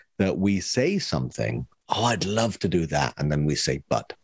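A man speaks at a moderate pace with lively intonation. Vocal fry is audible in his voice. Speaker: podcast co-host. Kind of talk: casual chat.

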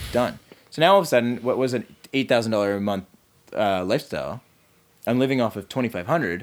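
A man with a Canadian accent speaks fairly quickly. His voice sits at a medium pitch with ordinary pitch variation. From Calgary, Canada. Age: 30s. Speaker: entrepreneur and marketer. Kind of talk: casual interview conversation.

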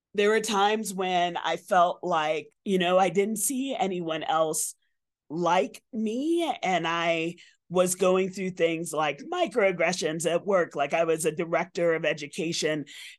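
Against a quiet background, a woman speaks at a fairly slow pace in a fairly low pitch with ordinary pitch variation. Hers is an unremarkable speaking voice. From Bronx, New York. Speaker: environmental educator and association president. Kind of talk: casual interview. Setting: outdoor hotel patio.

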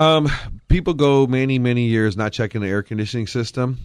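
The speaker has a plain, everyday voice with ordinary pitch variation. The pace is moderate. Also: man. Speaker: heating and air conditioning business owner. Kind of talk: casual chat. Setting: studio.

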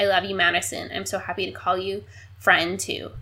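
A woman speaks at a medium pitch with vocal fry. Her pace is fairly quick. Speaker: podcast host. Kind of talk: casual chat.

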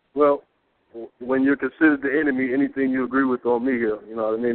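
Fairly even intonation marks this man's medium-pitched voice with an American accent. He talks at a very fast pace. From US Midwest, inner city Peoria, Illinois. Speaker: radio show co-panelist. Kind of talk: call-in radio discussion.

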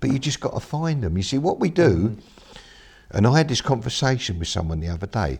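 Using vocal fry, a man at medium pitch moves at a fairly quick pace through very wide pitch swings. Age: 60s. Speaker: mindset coach and speaker. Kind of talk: interview. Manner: halting.

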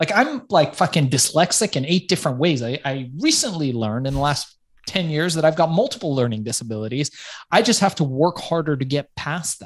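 An unremarkable speaking voice at a fairly quick pace. The background is quiet. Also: man, fairly high pitch for a man, lively intonation. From Los Angeles, US. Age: 40s. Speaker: author and entrepreneur. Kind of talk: interview conversation.

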